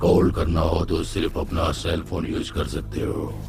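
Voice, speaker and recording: A put-on character voice over loud background noise. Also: man, very deep, low pitch for a man, moderate pace. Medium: short film. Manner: calm, detached, mock-polite.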